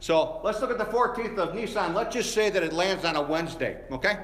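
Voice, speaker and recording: An animated man at a moderate pace, with ordinary pitch variation, amid audible room echo and noticeable background noise. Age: 60s. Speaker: pastor. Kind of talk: sermon. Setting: church.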